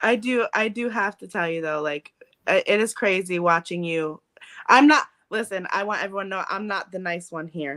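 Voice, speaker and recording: Her tone is bright and sharp at a medium pitch, with ordinary pitch variation. The woman talks at a moderate pace, and the sound is dry and close with no echo. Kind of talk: casual chat.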